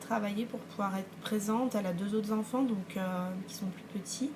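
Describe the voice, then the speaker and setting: A woman speaks at a moderate pace with a fairly high pitch. Noticeable background noise runs under her voice. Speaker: knitting and sewing podcaster. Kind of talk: casual vlog talk. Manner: hesitant, many fillers.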